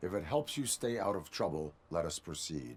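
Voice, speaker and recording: A man puts on a character voice. His pitch sits very deep and low. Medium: video game. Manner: flat, formal, measured.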